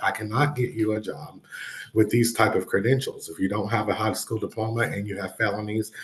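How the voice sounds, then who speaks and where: A somewhat breathy man talks at a fairly quick pace, his fairly low pitch held in fairly even intonation. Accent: Southern US. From North Carolina. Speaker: education advocate, former state legislator. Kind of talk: interview.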